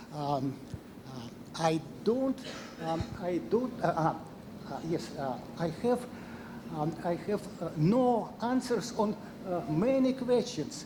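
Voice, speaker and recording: A man with a non-native accent speaks very slowly in a high pitch, leaving long, frequent pauses. Audible room echo surrounds his voice. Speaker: scientist. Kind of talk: Q&A after a lecture. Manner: halting.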